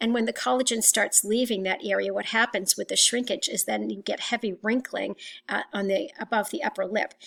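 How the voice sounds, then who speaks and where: This woman has a fairly high pitch, vocal fry and ordinary pitch variation, speaking at a fairly quick pace. The recording is very clean with a silent background. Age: 60s. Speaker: teacher. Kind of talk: lecture. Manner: halting.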